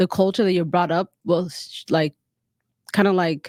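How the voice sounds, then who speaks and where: A woman with a South Sudanese accent at a moderate pace, with fairly even intonation, in a very clean recording with a silent background and a dry, close sound with no echo. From South Sudanese refugee camp in Kenya, raised in Utah. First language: Dinka. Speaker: public health graduate. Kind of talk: casual chat.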